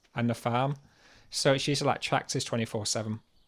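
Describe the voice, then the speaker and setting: On a very clean recording with a silent background, a man speaks with a Yorkshire accent. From Yorkshire, northern England. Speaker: livestreamer. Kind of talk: casual chat. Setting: livestream.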